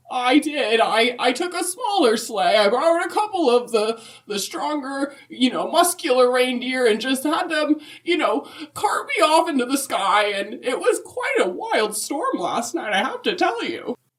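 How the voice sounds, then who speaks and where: Putting on a character voice, a woman speaks at a moderate pace and high pitch, with very wide pitch swings. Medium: comedy sketch. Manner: rambling, halting, folksy.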